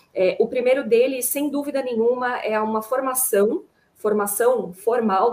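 A woman with a normal speaking voice, at a fairly slow pace with ordinary pitch variation. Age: 30s. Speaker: panel moderator, HR manager. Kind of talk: panel discussion.

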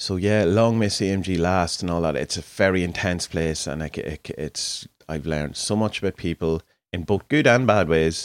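A man with an Irish accent speaks at a very deep, low pitch and a moderate pace, with ordinary pitch variation. The sound is dry and close with no echo, in a very clean recording with a silent background. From Ireland. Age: 40s. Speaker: podcaster and artist. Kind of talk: solo monologue. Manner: casual, hesitant with fillers.

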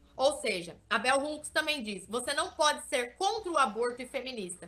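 A woman's raised, projected voice rings out in a bright, sharp tone at a high pitch. She talks at a fairly quick pace with very wide pitch swings. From interior of São Paulo state, Brazil (Vale do Ribeira). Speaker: digital influencer. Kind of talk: interview.

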